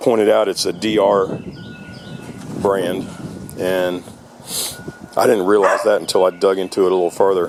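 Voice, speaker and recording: Someone talks at a moderate pace against noticeable background noise. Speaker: small engine repairer. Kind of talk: casual repair walkthrough.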